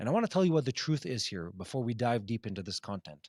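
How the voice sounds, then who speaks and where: A man with an unremarkable speaking voice talks at a medium pitch with lively intonation, in a dry, close sound with no echo. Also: very clean recording, silent background. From Israel. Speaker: news show host. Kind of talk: live news Q&A broadcast. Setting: outdoors downtown Jerusalem, live.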